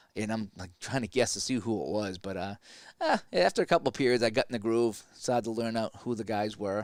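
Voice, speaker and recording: With a Boston accent, a man speaks at a fairly quick pace, medium pitch and ordinary pitch variation in a very clean recording with a silent background. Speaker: sports play-by-play announcer. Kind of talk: simulated game play-by-play with casual asides. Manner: casual, halting with repeated words.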